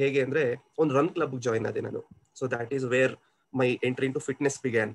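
Here is a man with fairly high pitch. He has an ordinary speaking voice. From Kolar, Karnataka, India. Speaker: senior software engineer. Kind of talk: interview answer. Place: home room. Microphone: video call.

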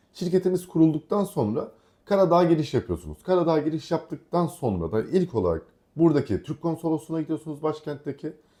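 A man speaks at a fairly quick pace in a fairly high voice with a dark, mellow tone. His pitch varies in an ordinary way, and the background is quiet. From Aegean Turkey, Kuşadası. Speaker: vlogger. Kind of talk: casual chat.

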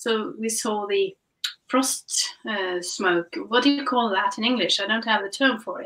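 A woman speaks in a Norwegian accent at a fairly slow pace. Her voice is fairly high. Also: ordinary pitch variation, quiet background. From Norway. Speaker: guest. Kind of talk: casual chat. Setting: video call. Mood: calm, reflective. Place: home room.

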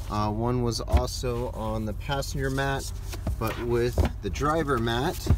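Noticeable background noise around a man's voice, dry with no echo. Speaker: car salesperson. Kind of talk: product walkaround tour. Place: car. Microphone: phone near.

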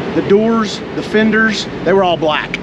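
A man talks at a moderate pace amid loud background noise. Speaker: race car driver and mechanic. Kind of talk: casual chat while working on car. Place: street. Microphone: phone near.

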